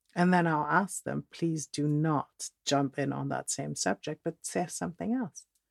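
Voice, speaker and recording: A woman speaks at a fairly slow pace in a Dutch accent, with hardly any pauses. The sound is dry and close, with no echo. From Netherlands, moved to Texas at twelve. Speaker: podcast host and relationship coach. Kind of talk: solo podcast monologue.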